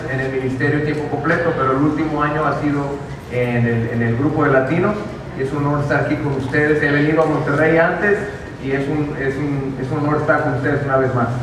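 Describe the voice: Delivered at a fairly quick pace with fairly even intonation, the speech comes through clear background noise and audible room echo. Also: man.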